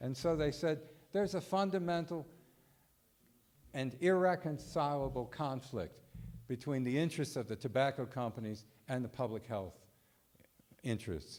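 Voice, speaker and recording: A man with a medium pitch talks at a moderate pace, his intonation lively and broken by long, frequent pauses. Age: 60s. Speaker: public health expert, lecturer. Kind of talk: conference talk. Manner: halting, with fillers.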